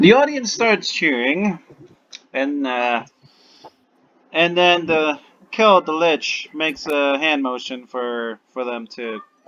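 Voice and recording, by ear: Speaking slowly, a man with a medium pitch uses lively intonation and a bright, sharp tone.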